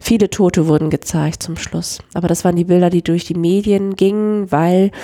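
This woman's voice is medium in pitch, its tone dark and mellow. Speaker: church youth worker, podcast co-host. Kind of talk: casual chat.

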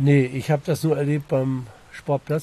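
His tone is dark and mellow, somewhat breathy, at a medium pitch. The man keeps a moderate pace and fairly even intonation. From East Frisia, northern Germany. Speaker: local resident met on a hike. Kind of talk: casual interview.

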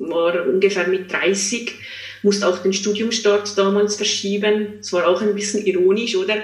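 A woman talks at medium pitch and a moderate pace with monotone, flat intonation. Audible room echo and noticeable background noise are present. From Switzerland, small village. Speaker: psychologist and coach. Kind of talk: interview. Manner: hesitant, many fillers.

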